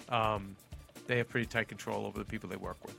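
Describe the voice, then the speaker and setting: Music plays in the background as someone talks at a very fast pace with an American accent. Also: man, big swings in loudness. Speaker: podcast host.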